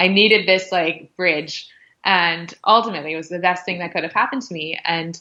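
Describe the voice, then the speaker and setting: Over a quiet background, a woman speaks in a bright, sharp tone at a fairly low pitch, with fairly even intonation and big swings in loudness. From US West Coast, Los Angeles. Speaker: yoga and pilates instructor. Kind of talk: podcast interview, personal story. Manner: casual, filler-heavy speech.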